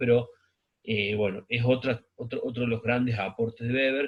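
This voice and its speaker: A man speaks at a moderate pace and medium pitch. His voice is somewhat breathy. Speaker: sociology teacher. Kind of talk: recorded lecture. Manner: halting, many fillers.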